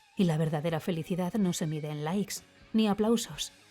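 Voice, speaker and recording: The talking proceeds at a moderate pace. Behind it, music can be heard. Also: woman. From Spain. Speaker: voice actor. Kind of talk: opinion column read aloud. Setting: home studio.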